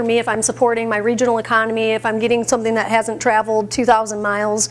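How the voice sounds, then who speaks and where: A woman at a very fast pace, over noticeable background noise. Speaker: plant-based chef. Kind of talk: cooking demonstration. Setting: stage with audience, microphone. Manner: loud.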